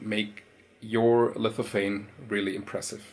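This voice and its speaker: A man talks in a flat monotone. His pitch sits fairly low. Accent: non-native. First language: not English. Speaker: 3D printing hobbyist. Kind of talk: tutorial. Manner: halting, with fillers.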